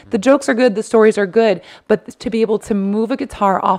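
Against a quiet background, a woman with a normal speaking voice talks at a fairly quick pace, her medium pitch held in fairly even intonation. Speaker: stand-up comedian. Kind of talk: casual chat. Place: home room. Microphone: studio mic.

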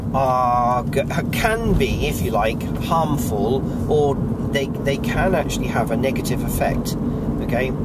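Very slowly and with long, frequent pauses, a man speaks over loud background noise in a dry sound with no echo. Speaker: vlogger. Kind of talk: casual vlog chat. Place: car. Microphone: phone near.

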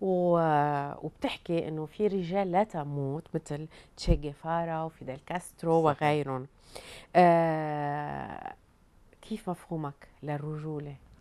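With a Lebanese accent, this voice has a dark, mellow tone and moves at a very slow pace. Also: woman, very deep, low pitch for a woman, fairly even intonation. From Lebanon. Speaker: TV talk show host. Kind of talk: interview. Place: studio. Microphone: lapel.

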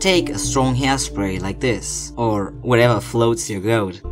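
A man speaks in a playful tone with a non-native accent. His pace is fairly slow, with music in the background. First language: not English. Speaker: cosplayer. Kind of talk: tutorial narration. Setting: home recording, poor equipment. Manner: playful, joking.

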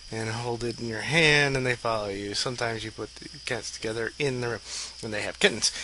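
A man talks at a fairly quick pace with fairly even intonation. Light background noise sits under a dry sound with no echo. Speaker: video blogger. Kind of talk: casual chat. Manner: rambling, laughing. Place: home room. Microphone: headset.

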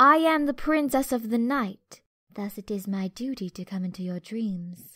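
A woman's put-on character voice, raspy and fairly high, with lively intonation, a moderate pace, and a very clean recording with a silent background. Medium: voice reel. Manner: calm, formal.

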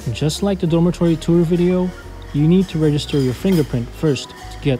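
With music in the background, the speech runs at a moderate pace. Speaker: exchange student vlogger. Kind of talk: casual vlog narration.

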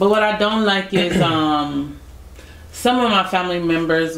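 A woman speaks in a playful tone with ordinary pitch variation. Audible room echo can be heard. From United States. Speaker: YouTube couple vlogger; couple vlogger. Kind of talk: casual chat. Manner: laughs often, playful. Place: home room.

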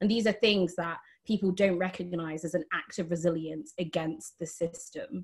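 Over a quiet background, a woman talks at a moderate pace with a fairly low pitch. Her voice is somewhat breathy, with ordinary pitch variation. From England, Lincolnshire; England. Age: 20s. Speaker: climate activist; panelist. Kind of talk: panel discussion. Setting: online video call. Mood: earnest, animated. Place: home room. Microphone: video call.

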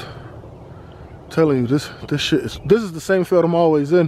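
Over light background noise, a man with an American accent speaks with ordinary pitch variation, in a dry sound with no echo. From Boston, US. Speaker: dog owner vlogger. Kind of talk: casual vlog monologue. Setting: outdoors walking dog. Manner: halting, many fillers. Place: open country. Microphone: phone near.

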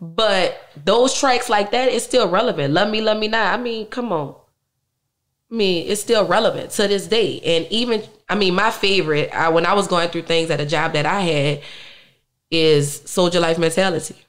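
A woman with a New Orleans accent at a moderate pace, against a quiet background. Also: lively intonation. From New Orleans, uptown. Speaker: musician; interview guest. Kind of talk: interview. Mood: emotional, reflective about family loss. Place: studio. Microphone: studio mic.

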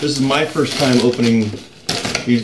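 A man talks at a medium pace over heavy background noise. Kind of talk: casual vlog chat. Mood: mildly annoyed, griping. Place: home room. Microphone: camera far.

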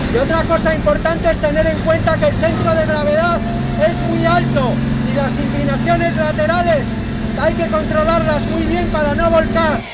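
Loud background noise sits under speech at a moderate pace. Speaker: motoring journalist test-driving. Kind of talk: commentary. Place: car.

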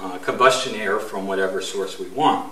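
Audible room echo surrounds a man who speaks at a fairly slow pace. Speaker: product demonstrator. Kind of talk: tutorial. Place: workshop. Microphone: camera far.

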